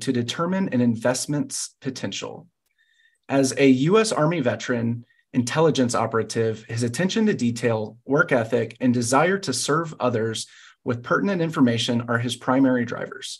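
A somewhat breathy man speaks at a moderate pace with ordinary pitch variation against a quiet background. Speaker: podcast host. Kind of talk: guest introduction, interview. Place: home room. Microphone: headset.

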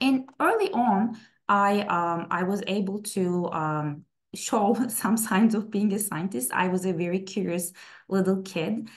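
Against a quiet background, a woman with a Turkish accent speaks fairly slowly at a medium pitch, with ordinary pitch variation. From Istanbul, Turkey; Turkey. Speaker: plant scientist; presenter. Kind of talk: webinar talk. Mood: personal, warm storytelling. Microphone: webcam.

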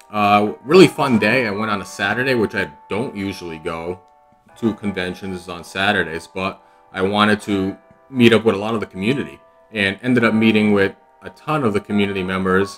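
A man speaks at a moderate pace in a fairly low voice, with faint music in the background. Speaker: comic collector vlogger. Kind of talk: casual vlog chat. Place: home room. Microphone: webcam.

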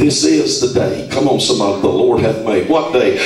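Light background noise and audible room echo around a man speaking. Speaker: preacher. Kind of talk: fervent live sermon prayer, scripture-citing call-and-response. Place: shop.

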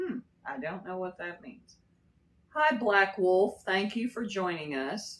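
A woman with an American accent speaks at a very slow pace. Light background noise runs underneath. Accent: slight Kentucky accent with Texas drawl. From Texas. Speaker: livestreamer. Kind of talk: casual livestream chat. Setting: live stream. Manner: drawn-out drawl. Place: home room.

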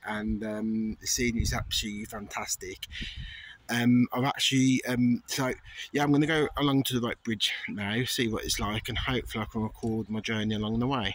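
In a dry recording with no echo, a man speaks at a moderate pace with fairly even intonation. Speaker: tourist vlogger. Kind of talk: casual vlog chat. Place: street. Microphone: phone near.

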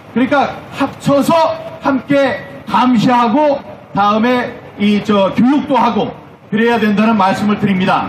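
A man speaks at an extremely high pitch with ordinary pitch variation, with audible room echo and faint music in the background. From South Korea. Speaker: political activist, former lawmaker; speaker. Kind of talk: political rally speech. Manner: animated. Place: stage.

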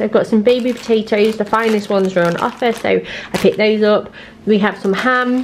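The tone is slightly mellow. Faint background noise can be heard. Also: woman.

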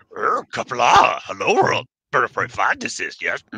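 A man puts on a character voice at an extremely high pitch, speaking at a moderate pace. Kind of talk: inverted syntax. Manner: wise, halting, odd word order.

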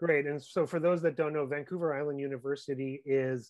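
A man is talking at a very fast pace. His intonation stays fairly even. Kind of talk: interview.

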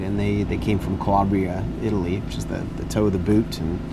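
A man delivers his words at a fairly quick pace, his pitch varying in an ordinary way, with noticeable background noise around him. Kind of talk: interview answer. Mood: relaxed, storytelling. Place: garden. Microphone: lapel.

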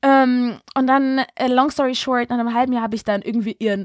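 Recorded dry and close with no echo, a woman speaks at a fairly quick clip in a high voice. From Berlin, Germany. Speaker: casting director and film director. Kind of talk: casual chat.

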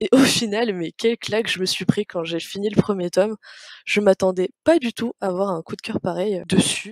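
The woman's medium-pitched voice moves at a moderate pace, rising and falling in an ordinary way. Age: 20s. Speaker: interior designer and book blogger. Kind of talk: casual interview. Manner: halting, many repeats and fillers.

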